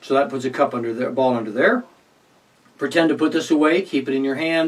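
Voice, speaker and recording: Pitched at a medium level, a man talks with ordinary pitch variation. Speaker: magician. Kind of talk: tutorial. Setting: alone in a room recording. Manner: fast.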